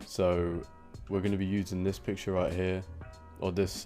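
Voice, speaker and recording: Music plays in the background. A man speaks with a very deep, low pitch and fairly even intonation. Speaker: digital art tutorial maker. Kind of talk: screen-recorded tutorial narration. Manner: casual, hesitant.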